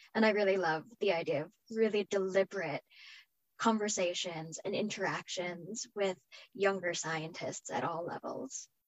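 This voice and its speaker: It is a woman with an unremarkable speaking voice at a medium pitch. She keeps a moderate pace with ordinary pitch variation. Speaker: microscopy center director, panelist.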